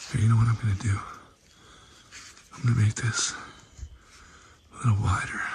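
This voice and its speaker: Quiet and flat in a monotone, a man speaks at a fairly quick pace broken by long, frequent pauses, with noticeable background noise. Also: medium pitch for a man. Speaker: paranormal YouTuber. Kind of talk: vlog narration outdoors. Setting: outdoors in woods at night. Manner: hushed, quiet.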